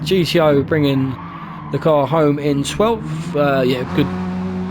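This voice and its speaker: Very wide pitch swings carry through noticeable background noise and audible room echo. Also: man. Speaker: sim racing league commentator and driver. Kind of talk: live race commentary. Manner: stutters at times.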